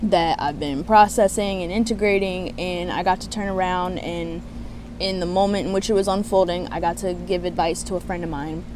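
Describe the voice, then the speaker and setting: Noticeable noise sits behind the speech, which moves at a fairly quick clip. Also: woman. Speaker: spiritual coach. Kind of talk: casual talk to camera. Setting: outdoors.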